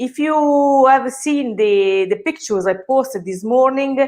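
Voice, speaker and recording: A woman is speaking. She has an Italian accent. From Italy. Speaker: personal chef. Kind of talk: live cooking class. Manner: halting, many hesitations.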